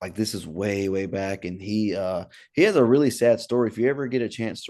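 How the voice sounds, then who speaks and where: Over a quiet background, a man with a slight Southern US accent talks at a very fast pace, his fairly low pitch carrying a dark, mellow tone and ordinary pitch variation. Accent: slight Southern US twang. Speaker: podcast host, comedian. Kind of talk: casual interview chat.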